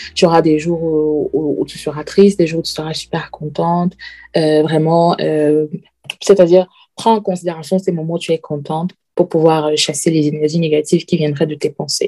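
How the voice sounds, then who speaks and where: Her tone is dark and mellow, with a fairly low pitch for a woman. She speaks in a monotone, flat intonation. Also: moderate pace. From Cameroon. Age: 30s. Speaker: podcast guest, risk analyst. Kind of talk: personal testimony. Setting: remote recording. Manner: halting, frequent repetitions.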